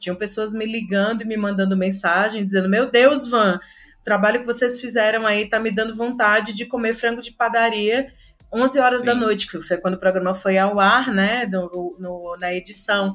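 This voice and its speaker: An ordinary speaking voice from a woman, fairly high in pitch, at a moderate pace with hardly any pauses and fairly even intonation. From Pernambuco, Brazil (interior). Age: 40s. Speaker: content manager at an ad agency. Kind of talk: casual interview chat.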